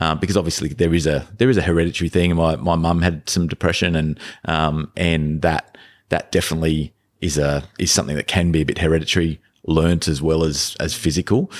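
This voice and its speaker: With an Australian accent, a man speaks at a fairly quick pace in a very deep, low voice, his loudness very even on a very clean recording with a silent background. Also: fairly even intonation. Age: 40s. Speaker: podcast guest, father of three. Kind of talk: casual interview chat. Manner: halting, many repetitions and fillers.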